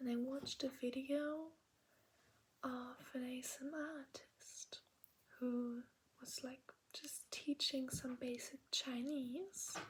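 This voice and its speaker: A woman with a German accent, a high pitch and monotone, flat intonation, at a very slow pace with long, frequent pauses. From Germany. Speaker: ASMR creator. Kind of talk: ASMR language lesson. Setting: in bed at night. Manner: soft-spoken, whispery.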